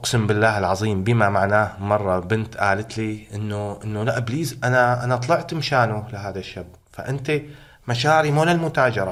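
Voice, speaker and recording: There is audible room echo around a man at medium pitch. He speaks at a moderate pace with ordinary pitch variation. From Syria, Hama. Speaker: protest chant singer. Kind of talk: interview. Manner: animated.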